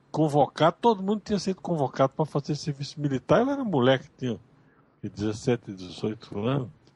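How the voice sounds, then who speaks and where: A man's fairly high voice with very wide pitch swings, recorded dry and close with no echo. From Brazil, Bahia. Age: 80s+. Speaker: professor and author, interview guest. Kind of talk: interview, personal recollection. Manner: halting, many repetitions and restarts.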